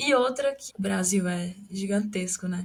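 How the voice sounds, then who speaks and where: The woman's voice is somewhat breathy. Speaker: podcast host. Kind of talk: casual interview chat.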